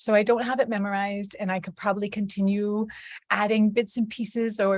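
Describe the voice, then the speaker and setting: Very clean recording of a woman at medium pitch, with a silent background. Her voice is somewhat breathy and her intonation fairly even. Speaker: mother. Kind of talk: casual talk to camera.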